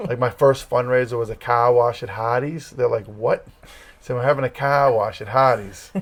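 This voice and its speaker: A man speaks with an American accent at a medium pitch. His voice is somewhat breathy, with fairly even intonation. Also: moderate pace. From Massachusetts. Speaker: campus ministry leader, former youth pastor. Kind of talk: casual interview.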